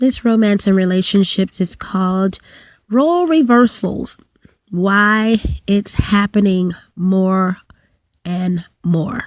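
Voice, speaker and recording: A woman speaks very slowly at a medium pitch, with ordinary pitch variation and very even loudness. Long pauses come often. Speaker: YouTuber and small business owner. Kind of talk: casual vlog talk. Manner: halting.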